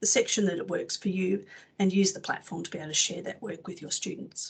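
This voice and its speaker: A woman speaks with an Australian accent at a medium pitch. Her voice is somewhat breathy. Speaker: publisher's education representative. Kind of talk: product presentation webinar. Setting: webinar. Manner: fast.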